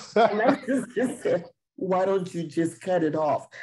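Here a man talks at a very slow pace. His intonation is lively. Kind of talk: casual chat. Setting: video call.

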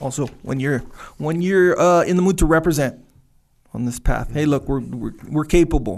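A man speaks in a normal speaking voice, his fairly high pitch showing ordinary pitch variation as he goes at a moderate pace. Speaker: podcast co-host. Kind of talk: casual chat.

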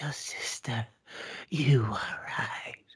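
The speaker uses a put-on character voice, raspy and low-to-middle in pitch.

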